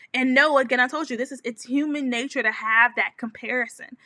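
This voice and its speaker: This raised, projected voice has a bright, sharp tone, moves at a fairly quick pace with ordinary pitch variation, and sounds dry and close with no echo. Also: woman. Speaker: business coach. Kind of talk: live stream talk. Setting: home office. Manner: fast.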